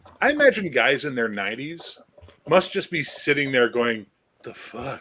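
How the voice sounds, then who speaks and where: Using an ordinary speaking voice, a man talks at a medium pitch and a fairly slow pace. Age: 50s. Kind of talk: casual chat.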